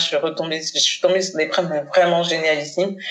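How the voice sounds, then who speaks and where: Speaking at a moderate tempo, a woman uses a fairly low pitch. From Paris suburbs (Seine-Saint-Denis), Haitian-born. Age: 40s. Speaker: communication agency founder. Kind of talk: casual interview. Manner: hesitant, many fillers.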